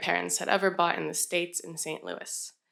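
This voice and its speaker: The voice belongs to a woman. It sits fairly low in pitch. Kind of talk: live storytelling performance. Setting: live stage event. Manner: personal, conversational storytelling.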